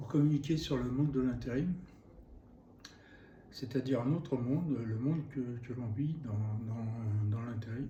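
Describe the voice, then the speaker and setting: A dark, mellow, somewhat breathy voice at a fairly slow pace, with long, frequent pauses and audible room echo. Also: man, medium pitch for a man, ordinary pitch variation. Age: 70s. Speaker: YouTuber, temp worker and cabinetmaker. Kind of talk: vlog monologue. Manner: hesitant, many fillers.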